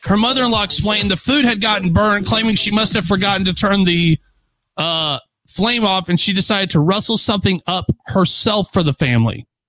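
A man with a high, bright, sharp voice projects it in an animated, playful tone, with ordinary pitch variation and very even loudness. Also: fairly quick pace, dry, close sound with no echo. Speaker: radio host. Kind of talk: radio dj patter, live show. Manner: animated, punchy, playful; fast, upbeat news-banter delivery.

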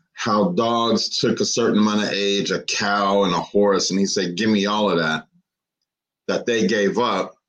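A man talks in an unremarkable speaking voice at a fairly low pitch. His pace is fairly slow and his intonation fairly even.

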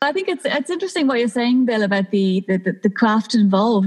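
A woman's somewhat breathy voice with a Dublin accent. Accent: Dublin Irish. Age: 30s. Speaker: lighting designer. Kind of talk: casual chat.

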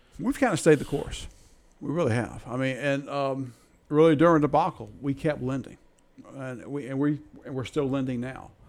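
Using an ordinary speaking voice, a man talks at a moderate pace with a fairly high pitch and fairly even intonation. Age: 60s. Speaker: credit union executive. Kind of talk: interview.

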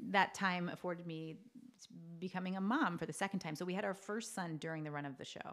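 A woman's fairly low voice at a very fast pace, with ordinary pitch variation. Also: big swings in loudness. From Canada (New Brunswick, Maritimes). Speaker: actress. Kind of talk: casual interview chat. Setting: studio with shared mics.

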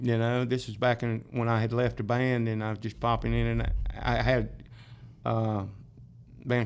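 Speaking with a South Carolina accent, a man keeps a fairly slow pace and fairly even intonation. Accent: US Southern (South Carolina). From upstate South Carolina (Greenville). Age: 60s. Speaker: drummer and bandleader. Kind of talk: casual interview chat, storytelling.

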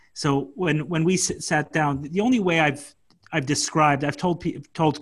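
Somewhat breathy, a man talks in an American accent. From Brooklyn, New York. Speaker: online event host. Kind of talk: casual chat. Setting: video call.

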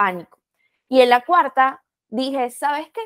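Fairly slow female speech with ordinary pitch variation and a dry, close sound with no echo. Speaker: podcast host. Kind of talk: podcast interview.

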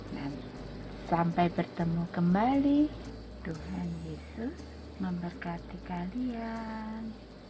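A woman at a very slow pace with long, frequent pauses, over noticeable background noise. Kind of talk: bedtime story telling for children. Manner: animated, gentle, warm, asking the children questions; changes voice for each character: gruff villagers, weak child, kind old woman.

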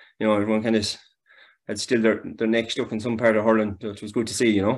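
A man with a Galway accent talks very fast in a fairly low voice against a quiet background. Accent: Galway Irish. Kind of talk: casual sports chat.

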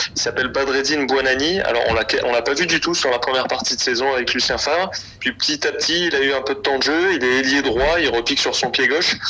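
Very fast and with hardly any pauses, a man talks at a fairly high pitch with very even loudness and ordinary pitch variation over noticeable background noise. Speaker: sports correspondent. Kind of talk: phone interview. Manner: hesitant, many fillers.

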